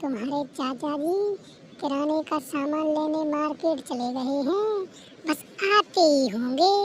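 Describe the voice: At a fairly slow pace, a woman uses a cartoonish character voice with a high pitch, over clear background noise.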